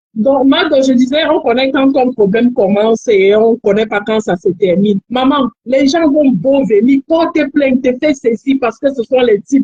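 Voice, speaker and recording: A woman's high voice with a Cameroonian accent, ordinary pitch variation, moderate pace, very even loudness, hardly any pauses, and a dry, close sound with no echo. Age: young. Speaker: caller. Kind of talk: advice call on live stream. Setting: phone call.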